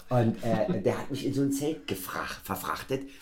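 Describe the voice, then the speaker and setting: A man's voice with audible room echo. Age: 40s. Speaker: podcast host. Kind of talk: casual chat.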